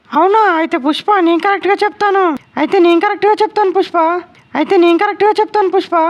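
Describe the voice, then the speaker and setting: Using a cartoonish character voice, a female-sounding speaker goes at a fairly quick pace with extremely high pitch. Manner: eager, sweet.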